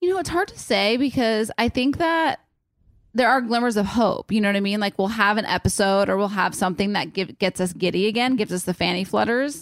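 In a very clean recording with a silent background and a dry, close sound with no echo, a woman talks at a fairly quick pace with a fairly high pitch and lively intonation, a plain, everyday voice. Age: 30s. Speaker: podcast co-host. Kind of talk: casual chat.

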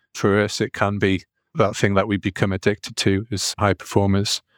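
With a northeast English accent, a man with a fairly low pitch speaks at a moderate pace in a very clean recording with a silent background and a dry, close sound with no echo. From northeast England. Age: 40s. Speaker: performance psychology coach and hypnotherapist. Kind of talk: casual interview conversation.

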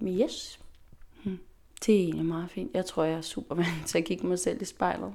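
Speaking at a moderate pace with long, frequent pauses, a woman has a dark, mellow tone and vocal fry. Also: fairly low pitch for a woman, ordinary pitch variation. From Faroe Islands. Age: 20s. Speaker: dancer and dance teacher. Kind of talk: interview. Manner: hesitant, many fillers.

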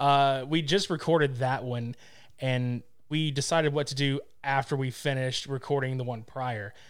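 A man speaks at a fairly high pitch with ordinary pitch variation in a very clean recording with a silent background. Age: 30s. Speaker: podcaster. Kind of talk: casual chat.

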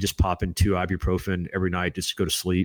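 A very deep, low-pitched man's voice with an American accent, at a very fast pace, with a dry, close sound and no echo. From US South, Florida Panhandle (Destin). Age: 40s. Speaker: war veteran and author. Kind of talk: casual interview.

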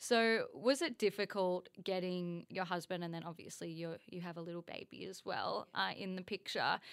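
An ordinary speaking voice from a woman at medium pitch, with ordinary pitch variation, a moderate pace, hardly any pauses and big swings in loudness. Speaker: podcast co-host. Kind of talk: casual podcast conversation.

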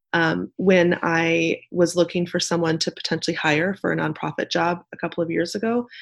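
Against a quiet background, a woman with a Midwestern accent speaks with vocal fry. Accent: General American (Midwest). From Nebraska, US Midwest. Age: 40s. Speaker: nonprofit community leader. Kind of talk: interview conversation.

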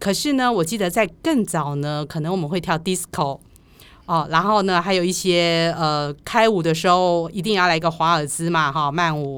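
At a moderate pace, a woman talks in a fairly low pitch with ordinary pitch variation in a very clean recording with a silent background. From Taiwan, Chiayi. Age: 50s. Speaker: podcast host. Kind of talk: casual interview chat.

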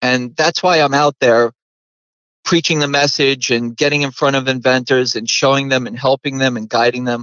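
A man's unremarkable speaking voice, medium in pitch, at a moderate pace with fairly even intonation. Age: 40s. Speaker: inventor and inventor coach. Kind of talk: interview.

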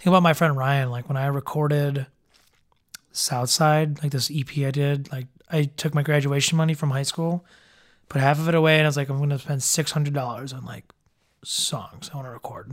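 A man's fairly high, monotone voice with an American accent, flat in intonation and fairly quick in pace. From Chicago area. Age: 20s. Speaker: musician.

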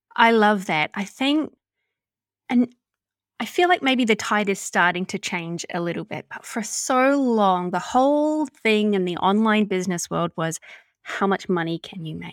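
In a very clean, dry and close recording with a silent background and no echo, a woman with a New Zealand accent speaks at a moderate pace and medium pitch, her loudness swinging widely. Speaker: podcast host and business mentor. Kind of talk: casual interview chat.

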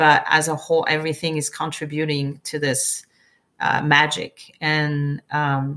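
A woman with a French accent speaks at a fairly slow pace, her pitch very deep and low yet bright and sharp in tone. The recording is very clean, with a silent background. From France, Provence. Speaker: winemaker. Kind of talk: interview. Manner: halting.

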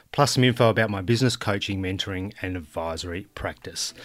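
With an Australian accent and ordinary pitch variation, a man speaks in a very clean recording with a silent background. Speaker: podcast host. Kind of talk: interview.

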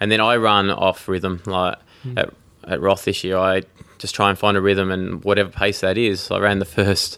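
A man with an Australian accent, a fairly low pitch, a bright, sharp tone, monotone, flat intonation and a moderate pace. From Tasmania, Australia. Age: 30s. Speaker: professional triathlete. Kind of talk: interview.

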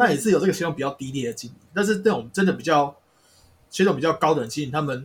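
A man's somewhat breathy, fairly high-pitched voice at a very fast pace. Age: 30s. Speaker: spirit medium. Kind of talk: casual chat.

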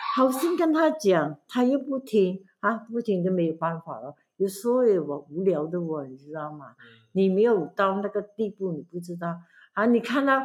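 Her pitch is medium for a woman, swinging very widely as she speaks at a moderate pace. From Malaysia, Pahang. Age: 70s. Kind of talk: casual family interview. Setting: camping at grandmother's home.

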